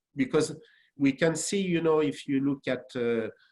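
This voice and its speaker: Ordinary pitch variation and a moderate pace, in a French accent. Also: man. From France. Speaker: franchise executive. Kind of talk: webinar panel discussion. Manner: halting.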